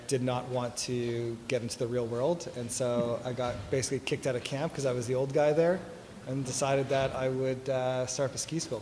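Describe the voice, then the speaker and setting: A man talks at a fairly quick pace and medium pitch in a monotone, flat way. Audible room echo surrounds his voice. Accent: Canadian. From Toronto, Canada. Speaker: tech company executive. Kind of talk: fireside chat interview. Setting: stage with audience.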